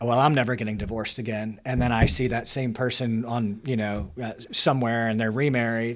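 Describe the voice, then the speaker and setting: A man in a normal speaking voice talks at a fairly quick pace and a medium pitch, with hardly any pauses and fairly even intonation. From Baltimore, Maryland. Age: 40s. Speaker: family law attorney. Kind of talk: casual chat.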